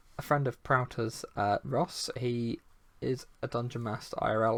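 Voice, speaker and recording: A soft-spoken man talks at a medium pitch. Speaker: gaming community founder and podcast host. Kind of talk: casual chat. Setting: live stream. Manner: quiet.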